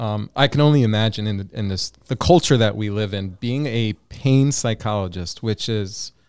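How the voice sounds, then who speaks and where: A man speaks at a moderate pace with an American accent, his pitch fairly low. His pitch varies in an ordinary way, and his is an unremarkable speaking voice. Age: 40s. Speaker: clinical psychologist, podcast host. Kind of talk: interview.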